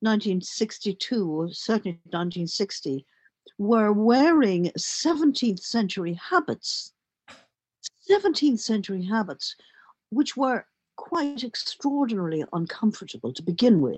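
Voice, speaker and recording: A woman with a Dublin accent, fairly high in pitch and somewhat breathy, at a fairly slow pace with very wide pitch swings. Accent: Dublin Irish. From Ireland, Dublin. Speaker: journalist and playwright. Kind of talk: interview conversation.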